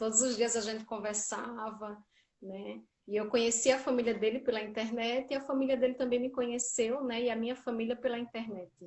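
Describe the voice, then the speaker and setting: A woman with a Paraíba accent, fairly high in pitch, at a fairly quick pace in a monotone, flat intonation. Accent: northeastern Brazilian (Paraíba). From Brazil, Paraíba (Campina Grande). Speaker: social worker in public service. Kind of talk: interview.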